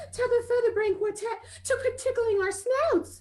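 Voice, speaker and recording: A woman uses a put-on character voice at an extremely high pitch. She speaks at a moderate pace. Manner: indignant, retorting.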